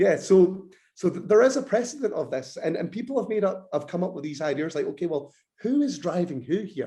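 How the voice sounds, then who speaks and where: In a Scottish accent, a man with a high pitch and a dark, mellow tone talks at a fairly quick pace with very wide pitch swings. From Scotland. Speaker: bodybuilder and nutrition lecturer. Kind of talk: podcast interview.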